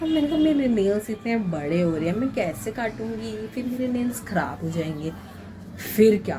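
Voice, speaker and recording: Through noticeable background noise, a woman's fairly high voice carries lively intonation. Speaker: vlogger and hospital night-shift worker. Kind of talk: casual vlog chat.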